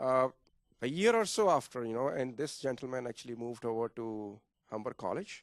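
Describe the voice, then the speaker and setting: Medium pitch from a man at a fairly quick pace, with ordinary pitch variation and a dry, close sound with no echo. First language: not English. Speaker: toastmasters member, analyst and teacher. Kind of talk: interview at club open house. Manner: soft-spoken; halting, many fillers.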